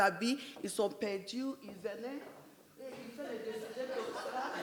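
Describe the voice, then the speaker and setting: Over noticeable background noise and audible room echo, a woman talks at a fairly slow pace in a fairly high pitch, her loudness swinging widely. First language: English (speaking French). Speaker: entrepreneur. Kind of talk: personal business story at a panel event.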